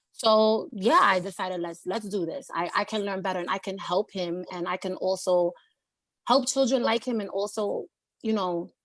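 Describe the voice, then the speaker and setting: A woman speaks in a New York accent at a moderate pace. Her medium pitch shows ordinary pitch variation in a very clean recording with a silent background. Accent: New York City. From New York City, Lower East Side of Manhattan. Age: 30s. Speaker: community college student. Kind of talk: panel discussion.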